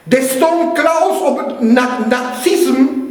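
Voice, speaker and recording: A man's intonation is lively, with noticeable background noise underneath. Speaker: pastor, preacher. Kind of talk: sermon delivered to a congregation.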